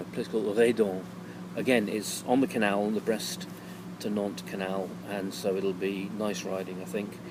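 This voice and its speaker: A man with a fairly low pitch talks in a relaxed tone at a moderate pace, his intonation lively. Noticeable background noise and audible room echo surround him. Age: 60s. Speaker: touring cyclist vlogger. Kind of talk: casual video diary. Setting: outdoors at holiday resort in evening. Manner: relaxed, hesitant with fillers.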